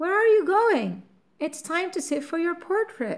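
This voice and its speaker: In a put-on character voice, a woman speaks at a moderate pace with an extremely high, squeaky pitch. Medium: read story.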